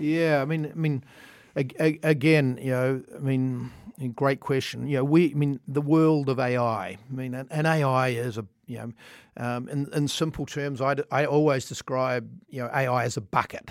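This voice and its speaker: A man with a New Zealand accent talks at a moderate pace with a medium pitch and fairly even intonation. The recording is very clean, with a silent background. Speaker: tech executive. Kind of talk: interview. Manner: halting, many fillers.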